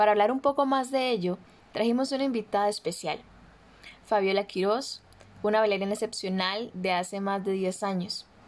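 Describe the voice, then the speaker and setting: Speaking in a Costa Rican accent, a woman uses a medium pitch with ordinary pitch variation. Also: moderate pace. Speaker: podcast host. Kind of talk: podcast interview.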